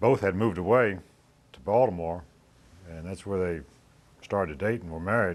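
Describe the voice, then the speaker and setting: A man with an American accent at a very deep, low pitch, at a moderate pace, with big swings in loudness and long, frequent pauses. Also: ordinary pitch variation. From Virginia, Northern Neck (Reedville). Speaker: boat builder. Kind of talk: oral history interview. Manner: halting.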